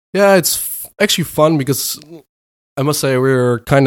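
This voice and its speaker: Speaking at a moderate pace with ordinary pitch variation, a man with a Dutch accent is heard on a very clean recording with a silent background. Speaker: product manager. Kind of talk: interview. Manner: halting.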